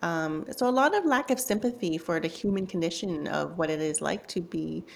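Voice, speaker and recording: Speaking at a moderate pace, a woman with a Canadian accent uses a normal speaking voice with a fairly low pitch. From Canada. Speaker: journalist and author. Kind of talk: interview.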